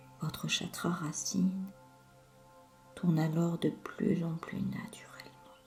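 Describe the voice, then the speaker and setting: With music in the background, a woman talks at a very slow pace. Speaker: hypnotherapist. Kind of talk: sleep hypnosis session. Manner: slow, soothing.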